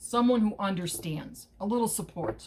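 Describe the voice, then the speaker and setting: A woman speaks at medium pitch in a somewhat breathy voice. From Chicago, US Midwest. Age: 60s. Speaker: political activist vlogger. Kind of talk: casual monologue vlog. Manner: hesitant, many fillers.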